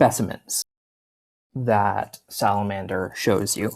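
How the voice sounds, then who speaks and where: Vocal fry marks this man's fairly low voice. He talks at a very slow pace with fairly even intonation. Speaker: ecologist. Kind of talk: out-of-character instructions to players.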